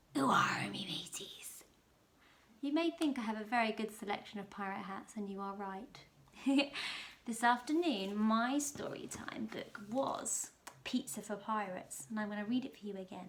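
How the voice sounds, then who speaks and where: With lively intonation, a woman talks in an ordinary speaking voice at a moderate pace and a fairly high pitch. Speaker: primary school teacher. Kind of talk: children's story reading. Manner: lively, expressive.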